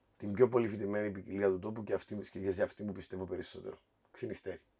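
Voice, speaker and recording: Against a quiet background, a man talks at a fairly quick pace in a fairly low pitch with a dark, mellow tone. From Cyprus. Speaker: café co-owner; podcast guest. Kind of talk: casual chat. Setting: wine cellar. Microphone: echoey, eerie sound from the cellar.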